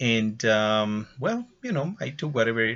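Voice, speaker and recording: A bright, sharp tone with ordinary pitch variation and a Spanish accent. The pace is fairly slow over a quiet background. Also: man. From Ecuador. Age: 60s. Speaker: English teacher. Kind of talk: testimony. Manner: halting.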